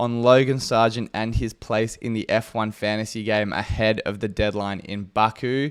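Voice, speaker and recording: Over a very clean, silent background, a man speaks at a moderate pace with an Australian accent. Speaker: fantasy sports content creator. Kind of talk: casual monologue.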